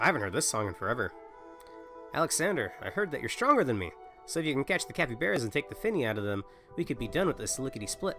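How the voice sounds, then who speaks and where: With music in the background, a man talks very fast at a fairly high pitch, his pitch swinging very widely. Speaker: livestreamer. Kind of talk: reading game dialogue aloud on a livestream.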